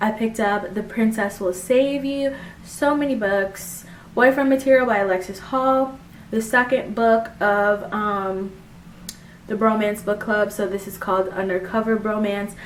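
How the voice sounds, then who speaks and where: This is a woman's voice at a medium pitch. Her pitch varies in an ordinary way. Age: 20s. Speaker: book vlogger. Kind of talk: casual chat. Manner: fast; animated.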